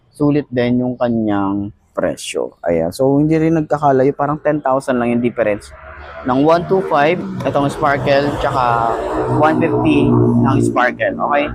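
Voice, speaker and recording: Noticeable background noise fills the clip. Through it, a man speaks at a fairly slow pace. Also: very even loudness. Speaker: motorcycle vlogger. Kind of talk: product review vlog. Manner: casual, conversational.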